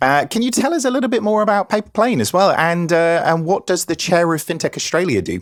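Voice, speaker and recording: In a Norwich accent, the speaker races along very fast with lively intonation and hardly any pauses, recorded very cleanly against a silent background with a dry, close sound and no echo. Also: man, high pitch for a man. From England, Norwich. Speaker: podcast host. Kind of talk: podcast panel introductions.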